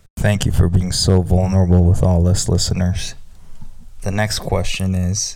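A man speaks fairly slowly in a very deep, low voice with fairly even intonation. There is noticeable background noise. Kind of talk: casual chat.

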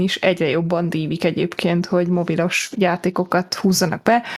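A woman's normal speaking voice at a medium pitch and a moderate pace. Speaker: podcast host. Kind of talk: casual chat.

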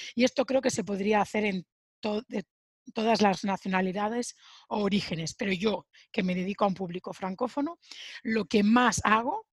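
A somewhat breathy woman at medium pitch, with ordinary pitch variation and a fairly slow pace, in a dry, close sound with no echo. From Spain, Sabadell (Barcelona). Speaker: Spanish teacher. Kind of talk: casual interview.

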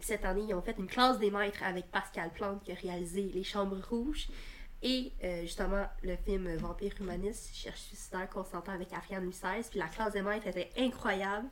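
A woman's normal speaking voice at a medium pitch, fairly quick pace and fairly even intonation. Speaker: film podcast co-host and student. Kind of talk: casual chat.

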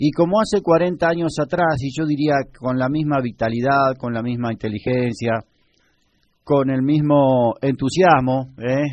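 A man speaks with a normal speaking voice. His pitch is fairly high and his pace fairly slow. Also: ordinary pitch variation. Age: 60s. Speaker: radio host. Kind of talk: radio broadcast.

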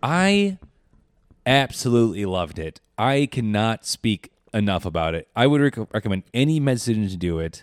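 A man with an ordinary speaking voice at medium pitch, lively intonation and a moderate pace, in a very clean recording with a silent background and a dry, close sound with no echo. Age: 30s. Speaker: co-host, fourth-year medical student. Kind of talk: casual chat.

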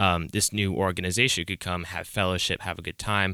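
A man with an American accent and a very deep, low pitch speaks in a bright, sharp tone, recorded very cleanly with a silent background and a dry, close sound with no echo. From US South, Atlanta area. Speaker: college student and bass player. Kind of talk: casual chat.

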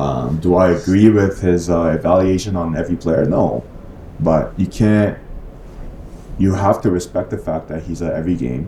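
A man's very deep, low voice with a Korean accent, at a moderate pace and with ordinary pitch variation, over noticeable background noise. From South Korea. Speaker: basketball coach. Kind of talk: casual interview.

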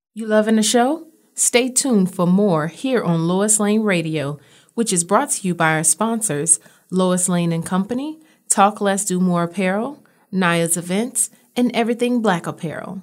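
Lively intonation marks this woman's plain, everyday voice. She speaks at a medium pitch and a moderate pace. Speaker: radio host. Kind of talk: casual chat. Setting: radio studio. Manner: chatty, casual; warm, friendly.

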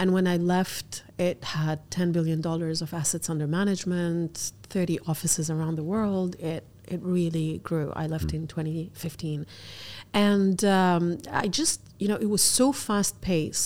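A woman with a Lebanese accent speaks at a fairly slow pace in a fairly low pitch, her intonation fairly even, on a very clean recording with a silent background. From Algeria, raised in Abu Dhabi, Lebanon and UAE. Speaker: fashion entrepreneur. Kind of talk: interview.

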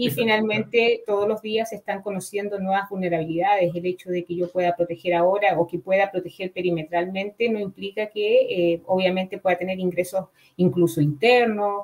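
Speaking at a fairly quick pace with hardly any pauses, a woman keeps a fairly even intonation at a medium pitch. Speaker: cybersecurity professor and researcher. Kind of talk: expert interview. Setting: online live show.

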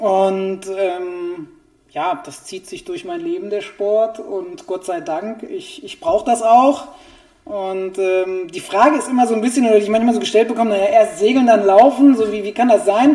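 A high-pitched man talks at a moderate pace, his pitch swinging very widely and his loudness swinging a lot. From Germany, Essen (Ruhr area). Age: 40s. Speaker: running shoe expert. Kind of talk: interview.

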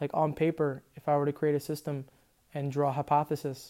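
A man with a fairly high pitch and a dark, mellow tone talks at a moderate pace in a monotone, flat intonation, on a very clean recording with a silent background. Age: 20s. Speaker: strength and conditioning coach. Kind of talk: solo monologue. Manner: casual with frequent fillers.

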